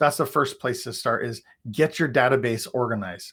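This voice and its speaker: A man speaks in an energetic tone at a fairly quick pace. His intonation is lively, and the background is quiet. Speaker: real estate coach. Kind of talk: live webinar training. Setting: livestream with screen share. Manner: fast. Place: home room.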